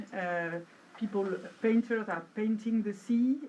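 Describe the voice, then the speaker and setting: A woman with a French accent and a fairly high pitch. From Brittany, France. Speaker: academic researcher. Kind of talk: conference presentation. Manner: hesitant, many fillers.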